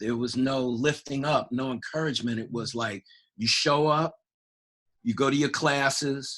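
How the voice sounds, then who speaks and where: Bright and sharp in tone, a man with an American accent speaks at a moderate pace with medium pitch and fairly even intonation. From New York City (Harlem). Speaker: church member. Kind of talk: podcast interview, personal life story. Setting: church podcast recording.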